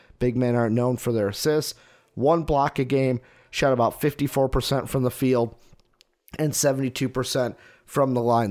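Moderate in pace, a man talks in a plain, everyday voice at medium pitch. The recording is very clean, with a silent background. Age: 20s. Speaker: sports podcast host. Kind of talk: solo sports podcast monologue.

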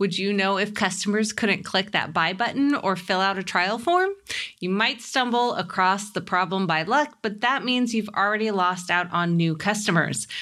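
The woman's tone is bright and sharp. Her loudness stays very even. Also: medium pitch for a woman, ordinary pitch variation, moderate pace. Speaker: podcast co-host and interviewer. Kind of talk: casual chat, live podcast recording. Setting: remote, live streamed.

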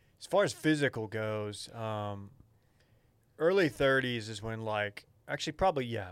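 In a very clean recording with a silent background, a man talks at a moderate pace and a medium pitch. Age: 30s. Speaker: podcast co-host. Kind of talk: casual chat.

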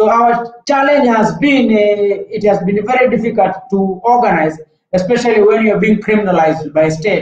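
A man speaks at a moderate pace with a high pitch. His loudness stays very even throughout. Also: ordinary pitch variation. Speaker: human rights activist. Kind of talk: online panel talk. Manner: halting with repeated words.

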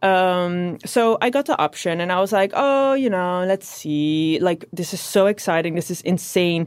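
A woman with a Dutch accent and a medium pitch talks at a moderate pace with ordinary pitch variation and hardly any pauses. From southern Netherlands. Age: 30s. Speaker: fashion model. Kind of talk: interview.

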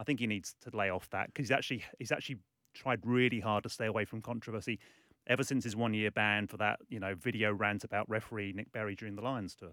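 Bright and sharp in tone, a voice with a British accent rushes at a very fast pace with fairly even intonation. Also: man, fairly low pitch for a man. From UK. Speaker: sports journalist. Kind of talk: radio interview. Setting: studio.

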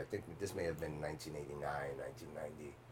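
There is noticeable background noise as a man with an American accent speaks at a moderate pace. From Bronx, New York. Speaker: actor. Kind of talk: casual roundtable interview.

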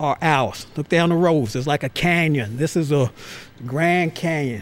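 With a normal speaking voice, a man talks at a fairly slow pace, his fairly high pitch varying in an ordinary way. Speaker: museum curator. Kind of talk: casual chat.

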